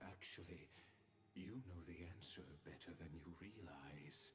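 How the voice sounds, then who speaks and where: A man puts on a character voice with a very deep, low pitch, speaking at a fairly slow pace amid clear background noise and a slight echo. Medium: video game. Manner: measured, enigmatic.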